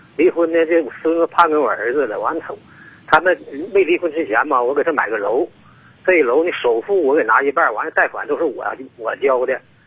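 A man talks fairly quickly while noticeable noise sounds behind him. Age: 60s. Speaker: caller. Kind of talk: phone-in call. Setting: phone call. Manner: halting.

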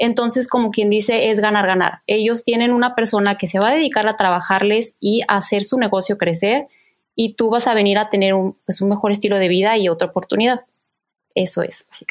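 At a fairly quick pace, a woman speaks in a fairly high voice with fairly even intonation and very even loudness. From Mexico, Guadalajara. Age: 30s. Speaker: chef. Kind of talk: casual chat. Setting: video call.

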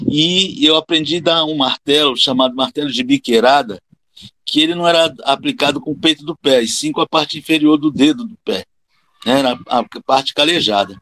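A normal speaking voice runs at a moderate pace with lively intonation. The recording is very clean and dry, close with no echo, over a silent background. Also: man, fairly high pitch for a man. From Rio de Janeiro, Brazil. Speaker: capoeira master and physical education teacher. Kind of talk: casual interview conversation.

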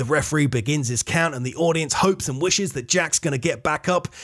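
A man talks in a fairly high register, his pitch rising and falling in an ordinary way. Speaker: podcast host and wrestler. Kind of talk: wrestling commentary, blow-by-blow match call. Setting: studio podcast. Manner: animated, fast play-by-play delivery.

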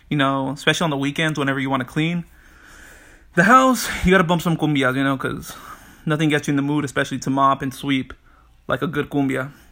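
A man with a bright, sharp tone and fairly high pitch talks at a very fast pace, keeping fairly even intonation and taking long, frequent pauses. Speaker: podcast host. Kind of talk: casual monologue. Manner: rambling, filler-heavy.

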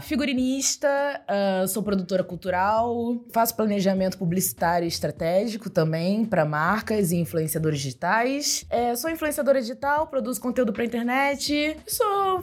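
A woman talks with a high pitch. Her voice swings very widely in pitch. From Baixada Fluminense, Rio de Janeiro, Brazil. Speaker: digital influencer and rapper. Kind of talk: interview conversation.

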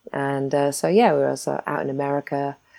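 Her pitch very deep and low, a woman speaks at a moderate pace with a dark, mellow tone. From Isles of Scilly, England. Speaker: photographer. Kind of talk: interview. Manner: hesitant, many fillers.

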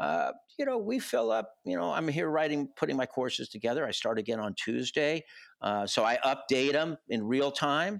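With a plain, everyday voice, a man talks at a moderate pace, his fairly high pitch moving in lively intonation over a very clean recording with a silent background. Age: 60s. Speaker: music festival founder and university professor. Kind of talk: casual interview.

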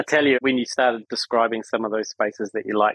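This man speaks at a medium pitch with a New Zealand accent. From New Zealand, Wellington. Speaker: architect. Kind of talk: interview conversation.

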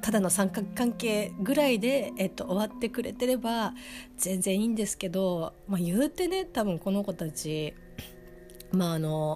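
Music runs behind a woman whose voice sits at a medium pitch. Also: lively intonation, moderate pace. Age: 30s. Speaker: anime review podcaster. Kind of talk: solo casual review monologue. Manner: halting, many fillers.

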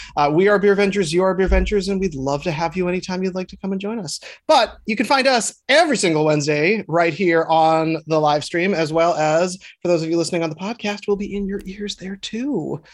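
A man with an American accent talks at a fairly quick pace with hardly any pauses. His pitch is high for a man, with ordinary pitch variation. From Minneapolis, Minnesota. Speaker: beer podcast host. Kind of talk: casual chat.

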